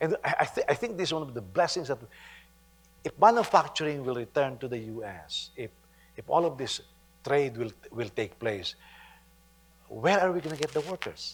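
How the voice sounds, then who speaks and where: A man with a Filipino accent and a fairly high pitch talks somewhat breathily at a moderate pace, his voice making very wide pitch swings between long, frequent pauses. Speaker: pastor. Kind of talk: sermon. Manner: halting, with frequent repetitions.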